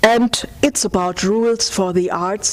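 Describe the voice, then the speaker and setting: Noticeable background noise sits behind a woman with a German accent. Her intonation stays fairly even. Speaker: lecturer on aesthetics, former curator and artist. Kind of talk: academic lecture. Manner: halting, with fillers.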